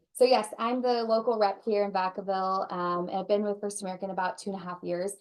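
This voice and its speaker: Against a quiet background, a woman talks at a very fast pace with a medium pitch. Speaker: home warranty sales rep. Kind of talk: presentation at a training session. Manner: animated.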